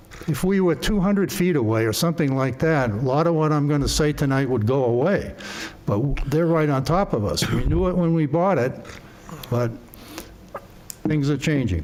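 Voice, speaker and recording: Speaking at a fairly high pitch with lively intonation, a man keeps his loudness very even and takes long, frequent pauses over noticeable background noise. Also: moderate pace. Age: 80s+. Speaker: resident speaking at public hearing. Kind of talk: public testimony at zoning hearing. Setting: town board meeting room. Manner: halting with repetitions.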